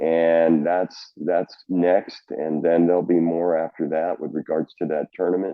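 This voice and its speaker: In an American accent, a man is talking. His voice sits very deep and low. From Oklahoma. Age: 60s. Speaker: college golf coach. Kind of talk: podcast interview.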